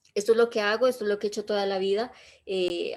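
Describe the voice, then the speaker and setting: The clip is very clean, its background silent. Here a woman talks at a medium pitch, her intonation fairly even. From southern Colombia, Pasto (Nariño). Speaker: public innovation consultant. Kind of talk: talk about personal failures and career.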